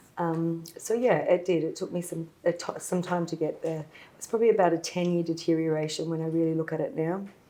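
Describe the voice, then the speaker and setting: Speaking at a fairly quick pace, a woman with an Australian accent keeps her intonation fairly even. Her pitch sits fairly low, and her tone is dark and mellow. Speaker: former legal client. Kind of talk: testimony.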